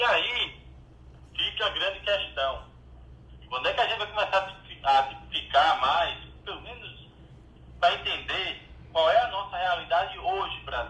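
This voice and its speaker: A man speaks fairly slowly, with big swings in loudness and long, frequent pauses, over noticeable background noise. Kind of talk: casual chat.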